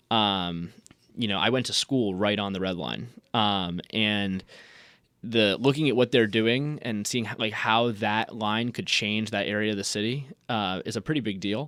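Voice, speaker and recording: A plain, everyday voice from a man with an American accent, fairly low in pitch with ordinary pitch variation, in a very clean recording with a silent background. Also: moderate pace. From Indiana. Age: 20s. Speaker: student city council candidate. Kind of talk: radio interview. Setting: radio studio.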